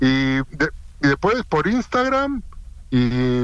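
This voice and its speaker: In a Rioplatense accent, a man speaks at a fairly high pitch with lively intonation. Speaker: football radio host. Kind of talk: interview. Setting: phone call. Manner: talkative.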